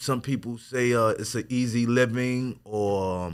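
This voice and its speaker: On a very clean recording with a silent background, a man with a medium pitch and a bright, sharp tone speaks at a very slow pace. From Wyandanch, Long Island, New York. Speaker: visual artist. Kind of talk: casual interview. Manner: halting, many fillers.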